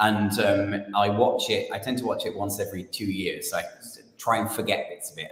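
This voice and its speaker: A man speaks in a British accent. Audible room echo follows his words. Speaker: playwright and director. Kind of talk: interview.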